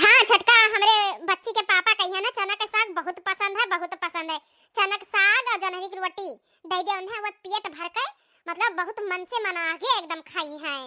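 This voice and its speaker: A woman does a squeaky, cartoonish character voice at an extremely high pitch, talking at a fairly quick pace with big swings in loudness, in a dry, close sound with no echo. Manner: chatty, homely.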